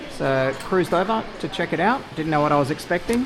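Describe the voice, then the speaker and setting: With music in the background and audible room echo, a man speaks at a moderate pace in an Australian accent. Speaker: fishing vlogger. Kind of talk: casual vlog walkthrough.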